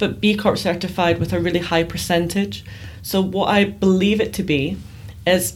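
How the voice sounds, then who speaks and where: A woman talks with a Glaswegian accent. Her pace is moderate and her pitch varies in an ordinary way. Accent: Glaswegian Scottish. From Scotland, Glasgow. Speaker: PR consultant. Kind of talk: interview conversation.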